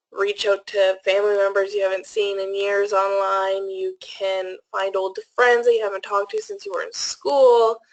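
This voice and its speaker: A woman with an ordinary speaking voice talks with ordinary pitch variation. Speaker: presenter. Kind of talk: webinar presentation.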